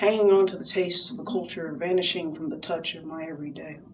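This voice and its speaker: A woman speaks in an American accent. Noticeable background noise runs underneath. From United States. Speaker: poet. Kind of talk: poetry reading. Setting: live venue.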